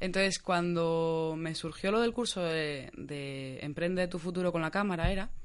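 At a moderate pace, a woman talks with a fairly low pitch and ordinary pitch variation in a normal speaking voice. The background is quiet. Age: 20s. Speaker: beauty consultant. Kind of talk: casual chat.

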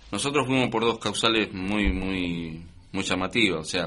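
His voice is very deep and low in pitch, yet bright and sharp in tone. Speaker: war veteran. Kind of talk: interview. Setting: studio.

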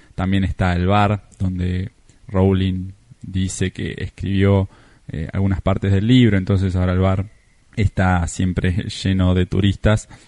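In a Rioplatense accent, a man with a very deep, low pitch and a dark, mellow tone speaks at a fairly slow pace in a monotone, flat intonation, with a dry, close sound with no echo and a quiet background. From Argentina. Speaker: travel podcaster and writer. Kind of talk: recorded travel account.

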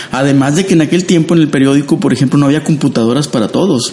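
Amid noticeable background noise, a man talks at a very fast pace with a medium pitch. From Mexico, Matamoros, Tamaulipas. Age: 50s. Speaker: designer and illustrator. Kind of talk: interview.

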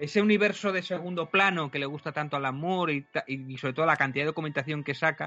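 Very fast talk from a man, fairly high in pitch, with ordinary pitch variation. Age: 40s. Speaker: podcaster and youtuber. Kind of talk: interview.

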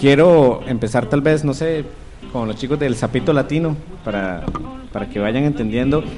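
A man with long, frequent pauses over noticeable background noise. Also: medium pitch for a man, ordinary pitch variation, moderate pace. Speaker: radio host. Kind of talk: casual chat.

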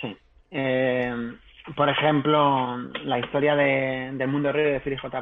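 The speaking voice is unremarkable. Its intonation stays fairly even. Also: man. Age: 30s. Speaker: novelist. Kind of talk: interview. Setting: live stream.

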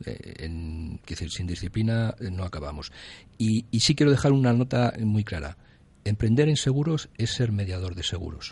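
A somewhat breathy man with fairly low pitch and lively intonation, against a quiet background. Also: moderate pace. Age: 50s. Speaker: insurance broker. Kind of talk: radio interview.

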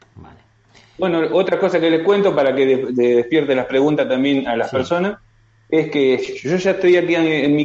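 A man with an Argentine accent, fairly high in pitch, with ordinary pitch variation, a moderate pace and noticeable background noise. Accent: Argentine Spanish (voseo). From Argentina. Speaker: construction worker, immigrant. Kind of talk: video call interview. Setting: video call.

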